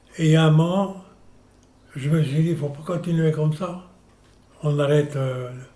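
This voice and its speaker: Amid audible room echo, a man with a dark, mellow tone and fairly high pitch speaks at a moderate pace with fairly even intonation and long, frequent pauses. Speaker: senior interviewee. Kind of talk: personal testimony.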